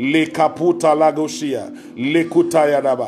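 A man's voice over faint background music. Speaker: preacher. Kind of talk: fervent prayer, with speaking in tongues. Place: home room. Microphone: phone near.

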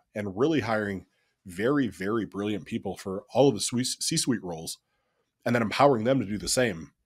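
A man with an American accent speaks at a fairly low pitch against a quiet background. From Ohio, US Midwest. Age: 30s. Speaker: ecommerce CEO; podcast guest. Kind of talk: podcast interview; interview answer. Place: home room.

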